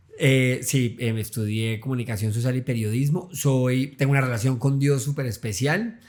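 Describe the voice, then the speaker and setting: A man talks at a moderate pace with hardly any pauses. His voice sits at a medium pitch with ordinary variation. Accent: Santander. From Colombia, Santander (Bucaramanga). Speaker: journalist and content creator. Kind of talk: casual interview chat.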